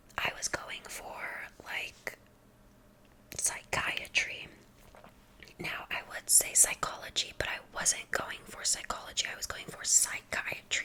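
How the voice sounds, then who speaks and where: Whispering with long, frequent pauses comes through noticeable background noise. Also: woman, big swings in loudness. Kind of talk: ASMR whispered introduction and rambling to camera. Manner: soft-spoken, whispering.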